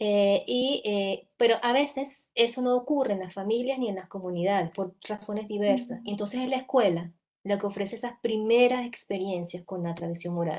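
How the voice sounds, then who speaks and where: Against a quiet background, a woman with a fairly high pitch keeps a moderate pace, hardly any pauses and ordinary pitch variation. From coastal Venezuela. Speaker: children's literature researcher and author; speaker. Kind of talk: panel discussion. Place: home room. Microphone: earbuds.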